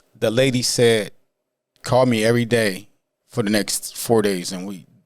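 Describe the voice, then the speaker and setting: An American accent marks this man's very slow speech, with medium pitch and fairly even intonation. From Canton, Ohio. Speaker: recovery coach and counselor. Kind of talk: podcast interview answer.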